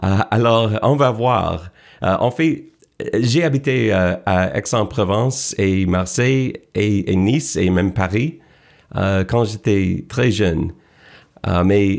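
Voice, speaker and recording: With an English accent and a fairly low pitch, a man speaks at a very slow pace with lively intonation and very even loudness over a quiet background. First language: English (speaking French). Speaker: sports TV host. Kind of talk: interview. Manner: halting, many hesitations.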